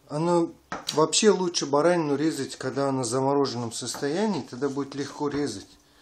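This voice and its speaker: A moderate pace and ordinary pitch variation, over light background noise. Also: man. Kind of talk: tutorial. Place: kitchen.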